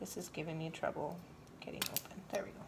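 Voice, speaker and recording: A woman speaks over noticeable background noise. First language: not English. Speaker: painting instructor. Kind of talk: tutorial. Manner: casual, chatty.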